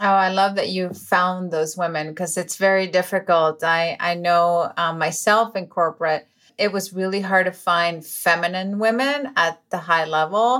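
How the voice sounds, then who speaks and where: In a very clean recording with a silent background, a woman with a Spanish accent speaks in an enthusiastic tone with hardly any pauses. Her pitch is medium, with ordinary variation. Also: moderate pace. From Venezuela. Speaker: podcast host. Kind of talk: interview.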